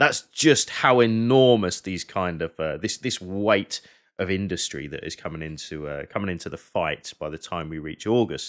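Very deep and low, a man speaks with a southern English accent at a moderate pace. His intonation is lively, his loudness swings widely, and the recording is very clean with a silent background. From England, Hertfordshire. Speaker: military historian and battlefield guide. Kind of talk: casual chat.

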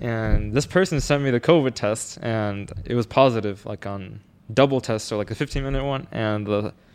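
A man with an ordinary speaking voice, at a moderate pace with ordinary pitch variation. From Mexican-American background, US. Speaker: podcast co-host. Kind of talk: casual chat.

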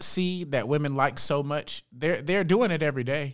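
A man with an ordinary speaking voice talks at a moderate pace, his fairly high pitch showing ordinary pitch variation. The recording is very clean, with a silent background. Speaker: podcast guest. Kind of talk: casual chat.

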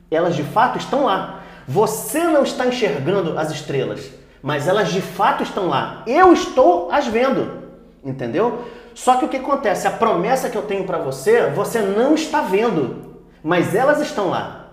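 A man's high-pitched voice with very wide pitch swings at a moderate pace, amid noticeable background noise and audible room echo. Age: 40s. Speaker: pastor and theology teacher. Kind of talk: Bible study discussion.

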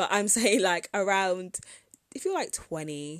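In a British accent, a woman speaks at a very slow pace with medium pitch and ordinary pitch variation. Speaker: podcast host and entrepreneur. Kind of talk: casual solo podcast monologue.

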